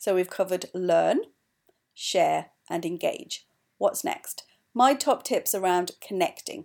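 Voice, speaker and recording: A woman with a Welsh accent on a very clean recording with a silent background. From Wales, mining valley. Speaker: podcast host, company co-founder. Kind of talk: solo podcast advice talk.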